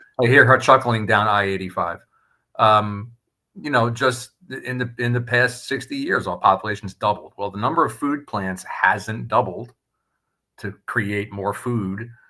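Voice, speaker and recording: A man talks at a fairly slow pace in a plain, everyday voice. His pitch sits in the medium range, with ordinary variation. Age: 60s. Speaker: food safety industry leader. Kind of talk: live debate chat. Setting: live video stream.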